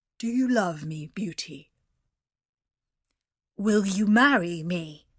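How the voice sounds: A female-sounding, put-on character voice comes out gruff at a middle pitch. It moves at a very slow pace.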